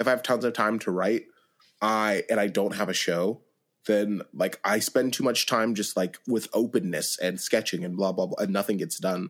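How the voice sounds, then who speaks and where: At a moderate pace, a man with an unremarkable speaking voice and a medium pitch speaks with ordinary pitch variation. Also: very clean recording, silent background. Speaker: podcast host. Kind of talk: interview conversation.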